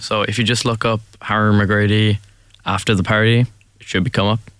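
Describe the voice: With little pitch movement, a man speaks at a fairly low pitch and moderate pace in a clear, smooth, fairly bright tone.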